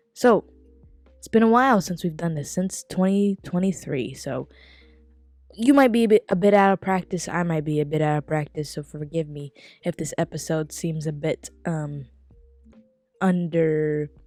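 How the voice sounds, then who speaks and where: Over music in the background, a woman with a fairly low pitch speaks in a dry, close sound with no echo, showing ordinary pitch variation, long, frequent pauses and big swings in loudness. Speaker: podcast host. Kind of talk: casual solo podcast review. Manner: casual, with fillers.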